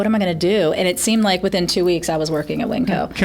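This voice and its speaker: Over noticeable background noise, a woman talks at a very fast pace, her medium pitch showing ordinary variation. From West Virginia, USA.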